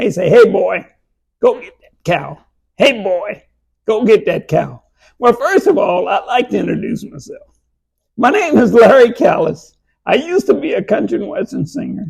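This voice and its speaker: In a Texas accent, a man talks with big swings in loudness. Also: moderate pace. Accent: Texas Southern US. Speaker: museum founder, former country singer. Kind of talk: interview.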